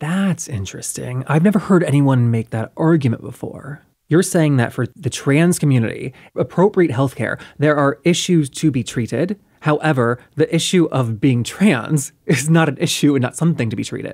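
A man with a plain, everyday voice speaks at a moderate pace with a fairly high pitch. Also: ordinary pitch variation. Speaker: podcast host. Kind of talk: podcast interview host.

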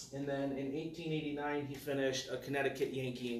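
Fairly even intonation over light background noise, with audible room echo. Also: man. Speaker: speaker. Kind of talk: lecture. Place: meeting room. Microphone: camera far.

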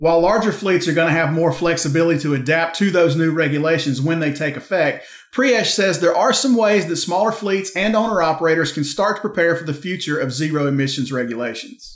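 With hardly any pauses, a man speaks at a fairly quick pace in a high pitch with ordinary pitch variation, audible room echo and a quiet background. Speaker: trucking news show host. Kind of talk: scripted news presentation. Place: home room.

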